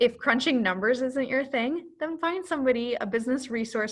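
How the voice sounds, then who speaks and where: A woman's voice over a quiet background. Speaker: business advisor. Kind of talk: webinar presentation. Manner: animated.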